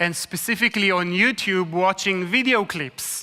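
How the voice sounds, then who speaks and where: This voice carries an Israeli accent. It moves at a moderate pace. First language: Hebrew. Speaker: evangelist. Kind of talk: talk to church audience.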